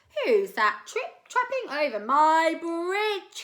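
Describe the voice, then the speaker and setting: A woman's bellowing, put-on character voice at an extremely high pitch, with very wide pitch swings and a very slow pace. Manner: roaring, angry.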